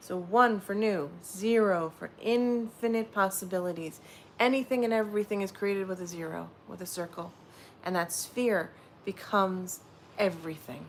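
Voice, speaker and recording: Soft-spoken, a woman talks at a moderate pace and a medium pitch with ordinary pitch variation. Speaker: livestreamer leading sound bowl relaxation. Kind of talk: guided meditation. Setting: livestream.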